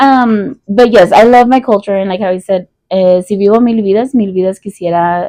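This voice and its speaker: A woman with an American accent, medium pitch, ordinary pitch variation and a dark, mellow tone, at a fairly quick pace, in a dry, close sound with no echo. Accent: Mexican American English. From US, Mexican American family. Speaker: podcast co-host. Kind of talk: casual chat. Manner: loud.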